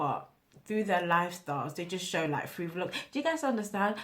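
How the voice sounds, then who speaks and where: Here a woman speaks with ordinary pitch variation. Her voice is somewhat breathy. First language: not English. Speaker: small influencer, vlogger. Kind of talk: casual vlog monologue. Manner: halting, with repeated words and fillers.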